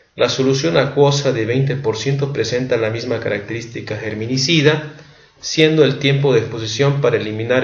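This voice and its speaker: A man speaks at medium pitch with ordinary pitch variation. Noticeable background noise and audible room echo surround him. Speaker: medical education youtuber. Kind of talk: lecture. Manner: halting.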